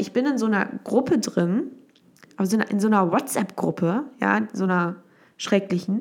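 With vocal fry and an animated tone, a woman speaks at a medium pitch and a moderate pace with ordinary pitch variation. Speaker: podcast host. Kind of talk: casual monologue. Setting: at home in the kitchen. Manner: halting.

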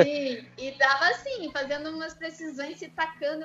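With fairly even intonation, a woman talks fairly quickly. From Curitiba, southern Brazil. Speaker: parkour coach and physical education teacher. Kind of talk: interview. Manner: casual, laughs often.

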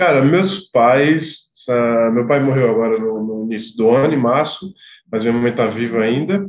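This is a man with an ordinary speaking voice and a medium pitch. He keeps a moderate pace with ordinary pitch variation. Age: 30s. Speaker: association executive. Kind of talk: casual interview chat.

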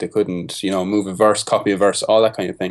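A man with an Irish accent talks at a fairly quick pace in a fairly low pitch. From Ireland (Carlow). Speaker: music producer. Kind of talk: casual interview.

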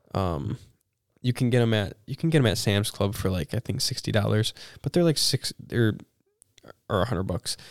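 A man with a fairly low pitch and vocal fry talks at a moderate pace with lively intonation and long, frequent pauses. The sound is dry and close with no echo. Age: 20s. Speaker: podcast co-host. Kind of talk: casual chat.

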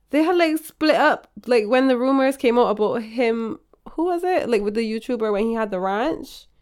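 With lively intonation, a woman speaks at a high pitch and a moderate pace. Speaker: podcast co-host. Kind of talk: casual chat.

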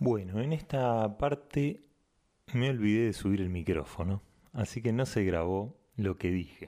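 Speaking at a fairly slow pace with very even loudness, a man uses lively intonation in a dark, mellow tone at a fairly low pitch. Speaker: radio host. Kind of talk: interview.

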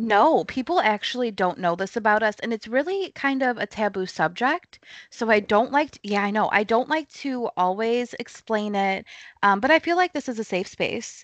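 Against a quiet background, a woman speaks at a moderate pace in an ordinary speaking voice, fairly high in pitch with lively intonation and a dry, close sound with no echo. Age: 20s. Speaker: thriller author. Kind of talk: casual chat. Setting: remote interview from home.

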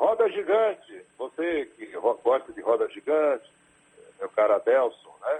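A man's loudness swings widely as he talks at a fairly slow pace. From Salvador, Bahia, Brazil. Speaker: state legislator and radio broadcaster. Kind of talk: radio interview.

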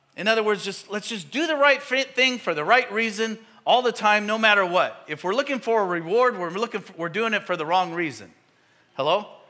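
A man speaks fairly quickly in a raised, projected voice, high-pitched, with lively intonation and an animated tone. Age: 50s. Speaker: pastor. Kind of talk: sermon.

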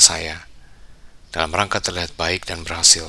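A man's calm yet bright, sharp tone at a moderate pace. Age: 40s. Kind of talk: scripted devotional monologue. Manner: calm reflective reading.

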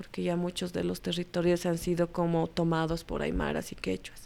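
Recorded very cleanly with a silent background, a woman's speech proceeds at a moderate pace. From Bolivia, La Paz. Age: 30s. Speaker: photojournalist. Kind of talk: interview.

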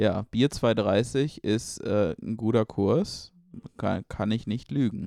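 A man speaks at a very slow pace and a fairly low pitch. His voice has ordinary pitch variation and a dry, close sound with no echo. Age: 20s. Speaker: podcast co-host. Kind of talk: casual chat. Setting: in a room together.

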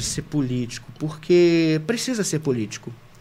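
A man's fairly high voice with very wide pitch swings, set against noticeable background noise. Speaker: university professor and criminal lawyer. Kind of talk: casual chat.

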